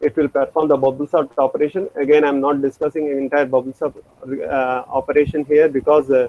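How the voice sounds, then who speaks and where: A man's fairly high, monotone voice with flat intonation at a fairly quick pace. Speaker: programming lecturer. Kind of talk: lecture. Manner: halting; fast.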